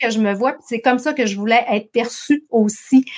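A woman with a Saguenay accent speaks at a fairly slow pace in a fairly high pitch with ordinary pitch variation. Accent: Saguenay Quebec French. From Quebec, Saguenay-Lac-Saint-Jean. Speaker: entrepreneur, marketing and HR consultant. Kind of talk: interview. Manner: animated.

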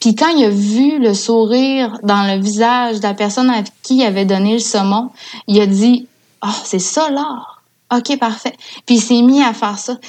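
A woman speaks at a fairly high pitch and a fairly slow pace. Her intonation stays fairly even. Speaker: communications coordinator for a salmon fishing federation. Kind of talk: casual interview chat.

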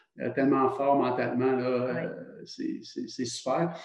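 Very slow in pace, a man speaks with a dark, mellow tone. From Quebec, Trois-Rivières. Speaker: retired hockey player. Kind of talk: casual interview.

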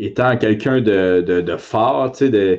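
Very slow speech in a Quebec accent with lively intonation. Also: man. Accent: Québécois French. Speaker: MMA fighter and co-host. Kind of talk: casual chat.

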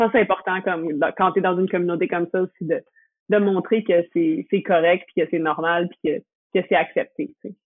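This woman speaks in a Quebec accent at a moderate pace. Her pitch is medium, and it varies in an ordinary way. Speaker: professional skateboarder. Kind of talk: casual chat.

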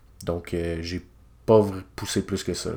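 A man in a Quebec accent at a fairly slow pace. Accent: Québécois French. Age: 20s. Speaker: illustrator, podcast host. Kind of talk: casual solo podcast monologue. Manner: hesitant, many filler sounds.

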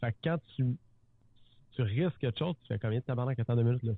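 A man talks with ordinary pitch variation around a medium pitch. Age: 30s. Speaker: real estate entrepreneur and TV personality. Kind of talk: casual interview chat.

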